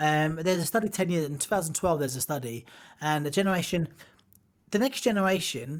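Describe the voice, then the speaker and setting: In a very clean recording with a silent background, a man speaks at a very fast pace with an English accent. His pitch is fairly high, and his intonation is lively. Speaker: boxer and pro wrestler. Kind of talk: casual chat. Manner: animated.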